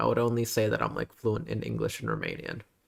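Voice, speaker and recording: Someone speaks with an American accent in a very clean recording with a silent background. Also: man. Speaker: vtuber streamer. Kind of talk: casual livestream, reading vocabulary aloud. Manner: halting, many fillers.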